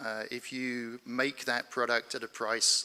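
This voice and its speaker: A man with a British accent talks at a medium pitch in a bright, sharp tone. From United Kingdom. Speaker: space company founder, panelist. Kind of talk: conference panel discussion.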